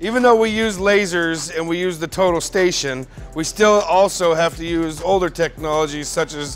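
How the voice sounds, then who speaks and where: Over faint background music, a man with a high pitch talks at a moderate pace with fairly even intonation. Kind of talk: tutorial. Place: factory. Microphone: lapel.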